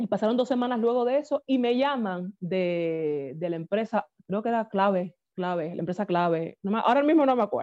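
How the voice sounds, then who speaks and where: A woman speaks in a Cuban accent at a fairly quick pace. Her medium-pitched voice has lively intonation. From Cuba, Havana. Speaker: singer. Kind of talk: interview.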